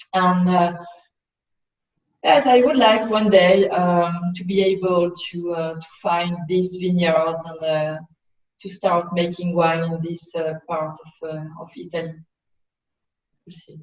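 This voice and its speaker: A woman with a French accent speaks at a very slow pace in a fairly low voice, her intonation fairly even, her loudness swinging widely, and her long pauses coming often. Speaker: winery owner and winemaker. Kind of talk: interview. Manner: halting.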